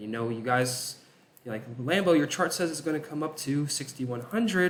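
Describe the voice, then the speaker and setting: A man talks with lively intonation as noticeable background noise runs underneath. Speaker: crypto chart analyst. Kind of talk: market analysis commentary.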